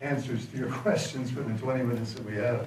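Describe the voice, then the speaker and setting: There is audible room echo around a man's voice. Light background noise is also present. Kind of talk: speech to audience. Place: hall.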